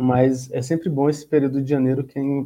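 A man's dark, mellow voice, monotone and flat, at a fairly quick pace. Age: 20s. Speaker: sales representative. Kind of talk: casual chat.

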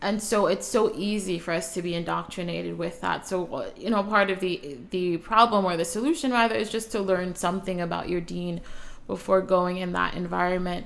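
With an American accent, a woman talks at a fairly quick pace with hardly any pauses. Hers is an unremarkable speaking voice at a medium pitch. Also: ordinary pitch variation. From US Northeast (Brooklyn, New York). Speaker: author and Islamic student. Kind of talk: casual interview chat.

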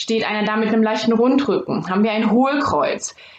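Noticeable background noise sits behind a woman with a fairly high pitch. She talks at a fairly quick pace with lively intonation. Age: 20s. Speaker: sports scientist doing movement diagnostics. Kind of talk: interview.

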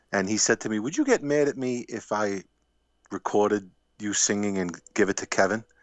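A normal speaking voice, fairly quick in pace, its pitch varying in an ordinary way. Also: man, fairly low pitch for a man. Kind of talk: casual chat. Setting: phone call.

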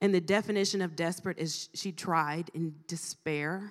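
A woman's ordinary speaking voice with an American accent, medium in pitch, with ordinary pitch variation and a moderate pace, in a very clean recording with a silent background. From Ohio, US Midwest. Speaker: guest preacher. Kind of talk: sermon. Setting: church conference with audience.

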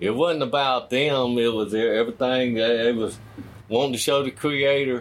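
Speaking with a Southern US accent, a man keeps a medium pitch, fairly even intonation, and a moderate pace. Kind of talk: interview. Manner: halting.

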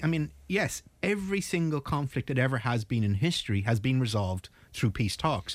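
An Irish-accented man, somewhat breathy, with very wide pitch swings on a very clean recording against a silent background. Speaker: naval architect and mediator. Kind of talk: panel discussion. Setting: studio.

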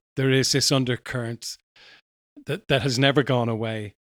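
In an Irish accent, a man speaks at a moderate pace with fairly even intonation. The sound is dry and close, with no echo. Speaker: podcast host. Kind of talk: interview. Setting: remote call.

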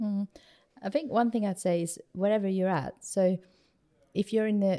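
A woman's dark, mellow tone with fairly even intonation, on a very clean recording with a silent background. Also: dry, close sound with no echo. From Sweden. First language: Swedish. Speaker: church planter. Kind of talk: interview.

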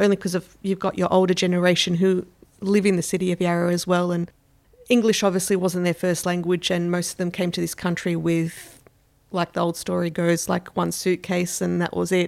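Speaking with an Australian accent, a woman keeps a fairly low pitch and a fairly quick pace. Her intonation is flat and monotone. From Melbourne, Australia. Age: 40s. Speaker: stay-at-home mother, community member. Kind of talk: interview testimony.

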